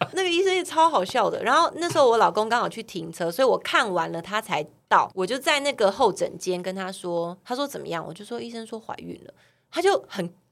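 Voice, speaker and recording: A woman's fairly high voice at a fairly quick pace, with very wide pitch swings and big swings in loudness. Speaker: model and TV host, podcaster. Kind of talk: casual chat.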